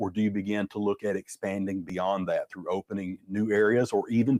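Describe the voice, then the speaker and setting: A man with a Southern US accent talks at a fairly quick pace and fairly low pitch, recorded dry and close with no echo. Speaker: business consultant. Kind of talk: webinar presentation. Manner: fast; repetitive fillers.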